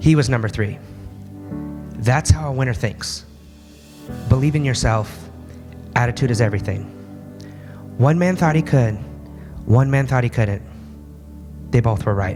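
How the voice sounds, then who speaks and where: With music playing in the background, a man talks at a moderate pace in lively intonation, pausing long and often. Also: medium pitch for a man. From Alaska. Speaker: motivational speaker. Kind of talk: motivational speech. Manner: animated.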